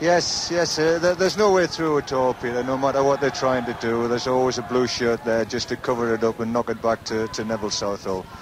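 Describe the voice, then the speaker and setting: Very fast talk from a man at medium pitch, against noticeable background noise. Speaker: football expert summariser. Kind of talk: radio match analysis.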